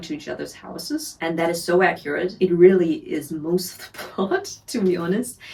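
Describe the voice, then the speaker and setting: Speaking at a fairly quick pace with a German accent, a woman has a fairly low pitch, with noticeable background noise behind her. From Germany. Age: 20s. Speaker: book reviewer. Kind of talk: casual talk to camera.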